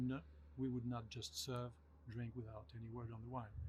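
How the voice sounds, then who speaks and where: A man with a French accent, medium pitch and lively intonation at a fairly quick pace. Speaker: winemaker. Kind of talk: interview.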